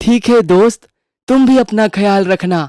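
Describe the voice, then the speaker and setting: A cartoonish character voice with fairly high pitch talks at a moderate pace. The recording is very clean, with a silent background. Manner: lively, naive.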